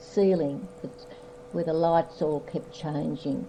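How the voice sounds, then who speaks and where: A woman's fairly low voice with an Australian accent, ordinary pitch variation and a fairly slow pace, over noticeable background noise. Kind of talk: family history reminiscence.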